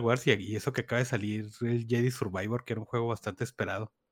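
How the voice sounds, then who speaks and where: Medium-pitched male speech with a dry, close sound and no echo. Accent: Mexican. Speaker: podcast co-host. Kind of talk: casual chat.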